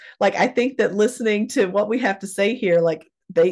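A woman with an ordinary speaking voice talks at a fairly quick pace. Her pitch variation is ordinary against a quiet background. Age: 30s. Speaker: podcast host and author. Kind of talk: casual chat.

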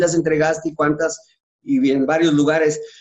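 Talking at a fairly quick pace, a man uses a plain, everyday voice pitched fairly high. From Mexico City. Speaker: retired footballer. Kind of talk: interview.

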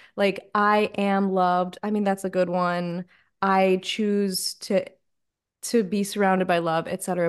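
With a plain, everyday voice, a woman speaks at medium pitch and a fairly slow pace. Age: 20s. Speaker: podcast host and life coach. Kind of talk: casual interview chat.

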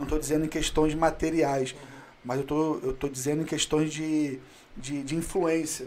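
A plain, everyday voice speaks at a fairly quick pace. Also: man. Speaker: day trader. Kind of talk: casual chat.

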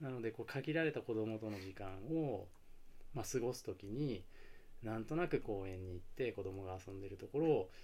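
Speaking at a moderate pace, a man uses a fairly low voice with a dark, mellow tone and lively intonation. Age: 40s. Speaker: DJ and father. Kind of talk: casual chat.

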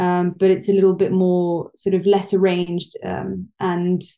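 A woman with a London accent speaks in a monotone, flat intonation at a fairly low pitch. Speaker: research psychologist and yoga teacher. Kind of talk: interview conversation.

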